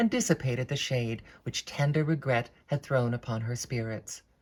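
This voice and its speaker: A somewhat breathy woman's voice with an American accent, a dark, mellow tone and a fairly quick pace, in a very clean recording with a silent background. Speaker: actress, harpist; former classical music radio host. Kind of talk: audiobook reading of classic novel.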